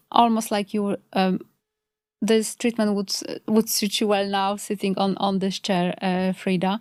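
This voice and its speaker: Speaking fairly slowly in a Polish accent, a woman with a medium pitch keeps a monotone, flat intonation, captured in a dry, close sound with no echo on a very clean recording with a silent background. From Poland. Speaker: complementary health practitioner. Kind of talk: podcast interview. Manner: hesitant, many fillers.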